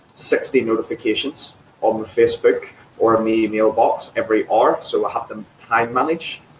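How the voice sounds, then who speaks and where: A man talks at moderate speed while noticeable noise sounds in the background. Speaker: fitness trainer. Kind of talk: interview. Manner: enthusiastic.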